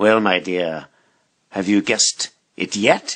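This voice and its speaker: A man adopts a put-on character voice, fairly low in pitch and fairly slow in pace. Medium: read story. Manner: sly, taunting.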